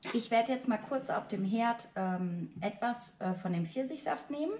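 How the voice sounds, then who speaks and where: A woman speaks at a fairly slow pace in a somewhat breathy voice. Audible room echo surrounds her. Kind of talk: tutorial. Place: kitchen. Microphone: camera far.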